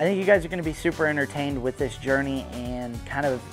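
Clear music in the background plays behind a man speaking with ordinary pitch variation. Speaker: channel host. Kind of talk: casual vlog chat. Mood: excited, playful. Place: garage. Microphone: lapel.

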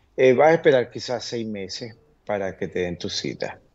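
Here a man talks at a medium pitch and a fairly slow pace. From Venezuela. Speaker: immigration lawyer. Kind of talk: TV interview answering viewer questions. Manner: frequent fillers and hesitations. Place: home room. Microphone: video call.

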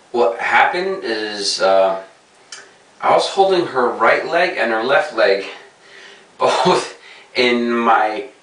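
Audible room echo follows a man talking at a very slow pace with lively intonation. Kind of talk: casual vlog chat. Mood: amused, storytelling. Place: bathroom. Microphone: camera far.

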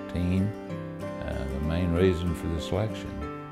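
Clear music sounds in the background. A man talks fairly slowly. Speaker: dental patient. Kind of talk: interview answer. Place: office. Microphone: lapel.

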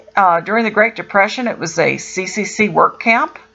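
Faint music plays behind a woman who speaks at a moderate pace with ordinary pitch variation. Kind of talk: casual travel commentary. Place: car. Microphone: camera far.

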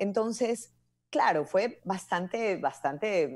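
The background is quiet. A woman talks at a very slow pace. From Ecuador. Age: 40s. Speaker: commercial voice-over artist and announcer; guest. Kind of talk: interview conversation. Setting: live video call. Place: home room. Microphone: earbuds.

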